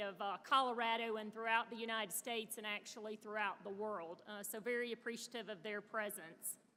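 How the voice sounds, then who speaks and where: A woman with a Southern US accent talks at a fairly quick pace in a fairly high pitch, her intonation monotone and flat. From US South (Birmingham, Alabama). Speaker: panel moderator, natural gas industry director. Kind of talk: conference panel moderation speech. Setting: stage with audience at conference. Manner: frequent filler hesitations.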